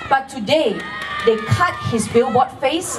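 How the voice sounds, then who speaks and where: A fairly slow pace over crowd noise in the background. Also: woman. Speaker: candidate. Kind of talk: campaign rally speech. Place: stage.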